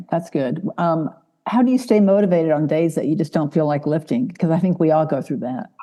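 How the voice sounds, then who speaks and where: A woman talks fairly quickly in a plain, everyday voice. Her fairly low pitch moves with lively intonation. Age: 60s. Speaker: podcast host. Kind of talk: interview.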